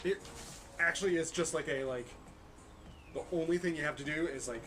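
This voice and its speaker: With music in the background, a man talks at a fairly quick pace and a fairly high pitch. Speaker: maker livestream host. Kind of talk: casual chat during a craft livestream. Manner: animated, rambling with fillers.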